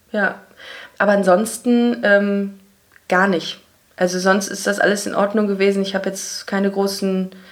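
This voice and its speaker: A woman talks at a medium pitch and a moderate pace. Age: 30s. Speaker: comedy writer and podcaster. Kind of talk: casual interview chat. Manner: sometimes stumbling over words.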